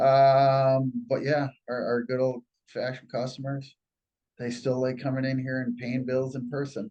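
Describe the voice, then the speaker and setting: A man speaks at a medium pitch and a moderate pace. His tone is dark and mellow, his intonation monotone and flat. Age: 60s. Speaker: business owner. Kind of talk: interview. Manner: halting, with many fillers and repetitions.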